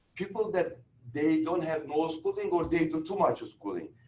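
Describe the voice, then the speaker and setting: High male voice with ordinary pitch variation. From Turkey. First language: Turkish. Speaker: real estate instructor. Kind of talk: lecture.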